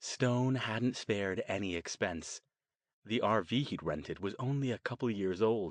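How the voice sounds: In a natural reading voice with ordinary pitch variation, the speaker reads against a quiet background.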